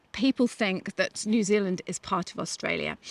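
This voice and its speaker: The sound is dry and close, with no echo. A woman speaks with a British accent. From Britain. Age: 50s. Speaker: podcast host. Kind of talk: casual chat.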